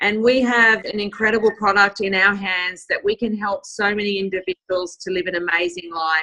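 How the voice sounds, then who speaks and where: A woman's bright, sharp voice at medium pitch, with fairly even intonation, a moderate pace and hardly any pauses. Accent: Australian. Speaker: network marketing team leader. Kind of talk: closing remarks on a group call. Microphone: phone instead of computer.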